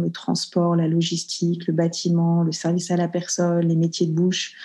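At a moderate pace, a woman talks with a fairly low pitch and a dark, mellow tone. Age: 40s. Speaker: entrepreneur. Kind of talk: casual interview.

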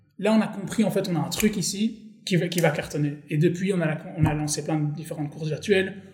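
A man with a high pitch talks at a fairly quick pace, with hardly any pauses and fairly even intonation. Audible room echo and noticeable background noise surround him. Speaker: startup co-founder. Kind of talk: casual interview.

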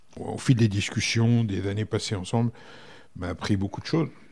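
Somewhat breathy, a man speaks at a moderate pace in a fairly low pitch with ordinary pitch variation. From France, Berry (Indre). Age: 50s. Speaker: hotel director. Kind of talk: casual interview. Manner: hesitant, many fillers.

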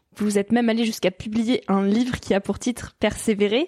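A woman's fairly high voice with a dark, mellow tone, ordinary pitch variation, and a dry, close sound without echo. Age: 20s. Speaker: podcast host. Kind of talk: interview.

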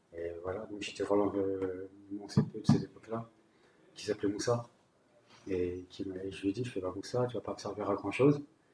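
At a moderate pace broken by long, frequent pauses, a man speaks in a somewhat breathy, dark, mellow, fairly low voice with fairly even intonation and big swings in loudness. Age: 30s. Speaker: homeless person sharing his story. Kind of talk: personal testimony.

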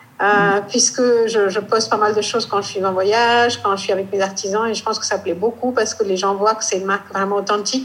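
A woman with an Indian accent talks at a medium pitch with fairly even intonation, over noticeable background noise. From northeast India. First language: Indian language (speaking French). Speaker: fashion and textile brand founder. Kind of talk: interview.

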